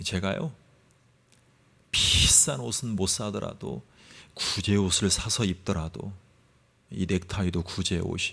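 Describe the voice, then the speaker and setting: A man with a very deep, low pitch and vocal fry speaks very slowly, using lively intonation, a bright, sharp tone and long, frequent pauses. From South Korea, Gunsan (North Jeolla). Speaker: pastor. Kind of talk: sermon.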